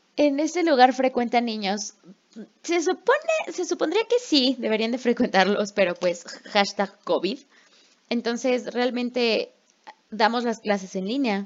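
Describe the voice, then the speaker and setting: A woman speaks at a fairly slow pace with high pitch. Her intonation is lively. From Mexico. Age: 20s. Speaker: podcast co-host, English teacher. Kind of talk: casual chat.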